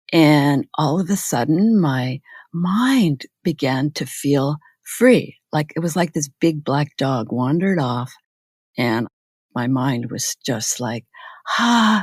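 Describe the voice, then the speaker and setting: Speaking very slowly with a Canadian accent, a woman uses a very deep, low pitch and lively intonation, recorded very cleanly against a silent background with a dry, close sound and no echo. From Canada, Manitoba. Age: 70s. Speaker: retired nursing professor. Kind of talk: interview.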